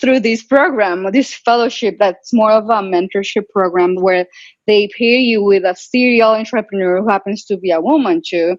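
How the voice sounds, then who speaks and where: A woman speaks with a Latin American accent at a moderate pace. Her loudness stays very even over a quiet background. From Colombia. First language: Spanish. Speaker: physician and tech entrepreneur. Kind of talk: webinar interview. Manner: animated.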